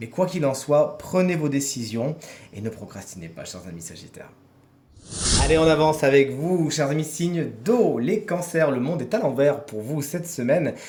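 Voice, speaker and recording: With audible room echo and noticeable background noise, a man speaks at a moderate pace in a fairly high voice, his intonation lively and his loudness swinging widely. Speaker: tarot reader. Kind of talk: weekly horoscope tarot reading.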